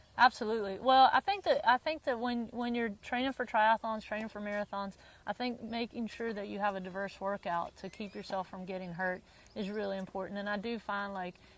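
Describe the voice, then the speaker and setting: A woman's medium-pitched voice with a Southern US accent and fairly even intonation. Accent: southern drawl. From US South (North Carolina, early years in Bermuda). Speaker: tennis teaching pro. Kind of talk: interview. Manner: frequent repetitions and restarts.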